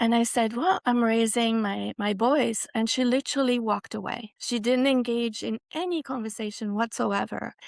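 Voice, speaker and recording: Speaking at a moderate pace with hardly any pauses, a woman uses a fairly high pitch and ordinary pitch variation, recorded with a dry, close sound and no echo. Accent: Swiss. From Switzerland. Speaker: university president. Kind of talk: interview. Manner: halting, many restarts.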